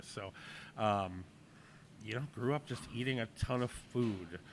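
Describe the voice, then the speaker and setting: At a moderate pace, a man talks with a Boston accent. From New England (Boston and Portland, Maine). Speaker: chef and restaurant owner. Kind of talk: casual interview.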